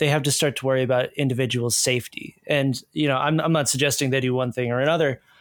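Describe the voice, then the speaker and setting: Speaking at a fairly quick pace, a man has a medium pitch, fairly even intonation and an unremarkable speaking voice. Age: 30s. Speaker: researcher and reporter on hate groups. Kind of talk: casual interview.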